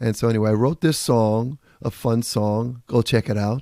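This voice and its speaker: A man with a New York accent and a dark, mellow tone speaks with fairly even intonation, in a very clean recording with a silent background and a dry, close sound with no echo. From New York (Bronx). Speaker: radio show host and author. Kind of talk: casual monologue.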